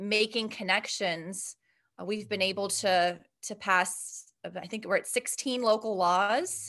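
In an American accent, a woman speaks at a fairly slow pace, her tone bright and sharp. Her medium-pitched voice keeps fairly even intonation against a quiet background. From Ohio, Steubenville. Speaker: math professor and nonprofit vice president. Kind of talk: podcast interview.

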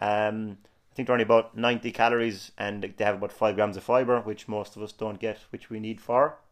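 In an Irish accent, a man speaks at a fairly quick pace and medium pitch with monotone, flat intonation. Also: big swings in loudness. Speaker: personal trainer. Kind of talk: casual chat.

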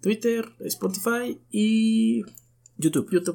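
The man's tone is dark and mellow. He talks at a very slow pace. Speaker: podcast co-host. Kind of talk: casual chat.

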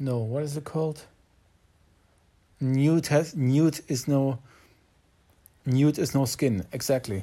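A man speaks very slowly, with long, frequent pauses. His fairly high voice has a dark, mellow tone and ordinary pitch variation. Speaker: job seeker. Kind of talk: voice memo diary. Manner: halting.

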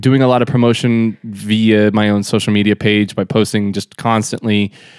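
A man with an unremarkable speaking voice, fairly low pitch, fairly even intonation and a fairly slow pace, in a dry, close sound with no echo. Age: 30s. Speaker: disc golf pro. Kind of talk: casual interview chat. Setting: hotel room.

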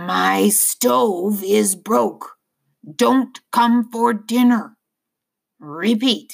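This put-on character voice is raspy and fairly high in pitch. It moves at a very slow pace.

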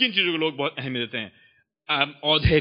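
This man has a normal speaking voice with a fairly high pitch. His intonation is lively. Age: 30s. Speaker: preacher. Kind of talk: sermon.

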